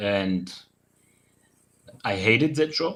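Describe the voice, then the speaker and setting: A man with a German accent and lively intonation. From Germany, Rhineland. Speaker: sculptor. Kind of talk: interview. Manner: halting.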